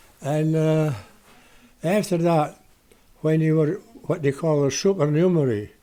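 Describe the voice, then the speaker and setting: In a Shetland accent, a man speaks at a fairly slow pace with long, frequent pauses. His fairly high voice has a dark, mellow tone, ordinary pitch variation and very even loudness. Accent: Shetland Scots. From Shetland (Lerwick). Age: 90s. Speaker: retired lighthouse keeper. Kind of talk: interview storytelling. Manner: halting.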